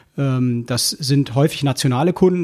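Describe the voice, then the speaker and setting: A man speaks in a somewhat breathy voice. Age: 30s. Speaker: key account manager at a newspaper. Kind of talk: casual interview.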